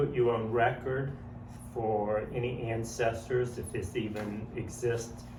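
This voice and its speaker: A man talking at a very slow pace, with audible room echo. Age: 60s. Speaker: family interviewer. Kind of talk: family oral history interview. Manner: halting, many ums.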